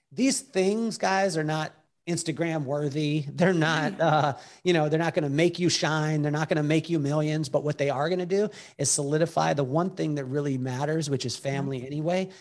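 Against a quiet background, a man with an American accent talks at a fairly quick pace in an ordinary speaking voice, his fairly high pitch carrying ordinary pitch variation. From Utah. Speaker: keynote speaker and author. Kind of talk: interview.

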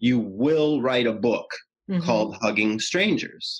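A man puts on a booming character voice at a medium pitch. He goes at a fairly slow pace with lively intonation. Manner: commanding.

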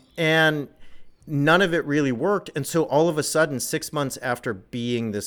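A man speaks at a moderate pace with a Californian accent. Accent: Californian American English. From Southern California. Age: 40s. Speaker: author and religion scholar. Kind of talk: interview.

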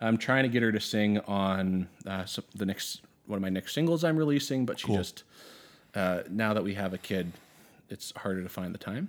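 A man with an Albertan accent talks at a moderate pace. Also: fairly low pitch for a man, ordinary pitch variation, very clean recording, silent background. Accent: Canadian (Alberta). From Southern Alberta, Canada. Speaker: high school teacher and musician. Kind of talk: casual chat.

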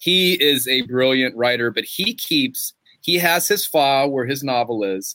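Speaking at a fairly slow pace, a man uses a fairly high pitch and a bright, sharp tone. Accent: Southern US. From western North Carolina. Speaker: novelist. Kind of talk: author interview; reading aloud. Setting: bookstore with live audience.

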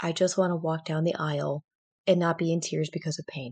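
A woman with an American accent speaks at a moderate pace in a plain, everyday voice against a quiet background. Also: dry, close sound with no echo. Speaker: sports physical therapist. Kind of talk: casual interview chat.

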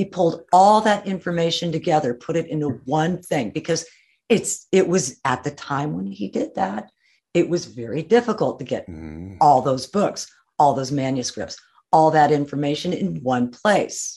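With vocal fry, a woman speaks at a very deep, low pitch in a dark, mellow tone, her pitch swinging very widely. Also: moderate pace. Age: 80s+. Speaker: musician and author. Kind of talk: interview.

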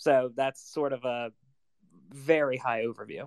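The voice comes at a fairly slow pace in a dry, close sound with no echo. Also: man. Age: 20s. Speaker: personal finance podcaster. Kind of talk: casual panel discussion. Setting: Twitter Spaces live audio room.

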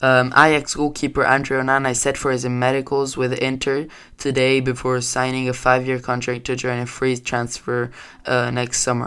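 A man speaks with a non-native accent at a moderate pace and a medium pitch. His tone is bright and sharp, his intonation monotone and flat, and the recording is very clean with a silent background. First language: not English. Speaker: amateur sports podcaster. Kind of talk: solo news-style podcast. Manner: halting, many fillers.

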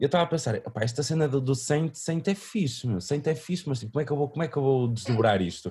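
A man with a dark, mellow, somewhat breathy tone speaks at a very fast pace with hardly any pauses. His loudness stays very even while his intonation stays lively. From northern Portugal, Vila Nova de Famalicão. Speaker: musician. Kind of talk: interview. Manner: halting, many repetitions and fillers.

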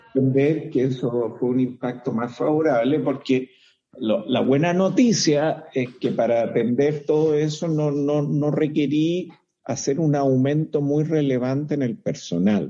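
A man speaks at a fairly slow pace with ordinary pitch variation and very even loudness. His tone is dark and mellow, his pitch fairly high. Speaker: lawyer. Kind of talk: casual chat.

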